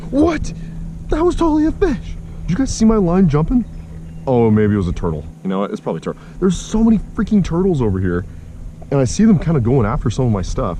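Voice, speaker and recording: A man rattles off his words at a very fast pace against noticeable background noise. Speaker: fishing vlogger. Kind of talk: casual outdoor vlog. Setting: outdoors on a kayak on a lake. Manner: animated; loud.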